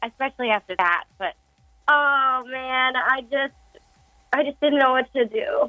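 Music plays in the background as a woman talks at a high pitch with ordinary pitch variation. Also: fairly slow pace. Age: 20s. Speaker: caller. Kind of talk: casual chat. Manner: hesitant, many fillers.

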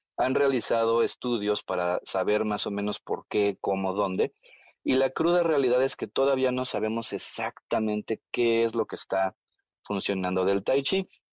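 Recorded with a dry, close sound and no echo, a man uses a normal speaking voice at a medium pitch with ordinary pitch variation. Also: moderate pace. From Mexico. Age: 40s. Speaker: tai chi teacher. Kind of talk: interview.

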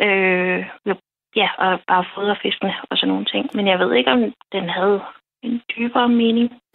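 There are long, frequent pauses as a woman speaks at a medium pitch. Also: lively intonation, fairly slow pace. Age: 30s. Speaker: early retiree with PTSD, dream guest. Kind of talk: personal testimony in interview. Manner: halting, many fillers.

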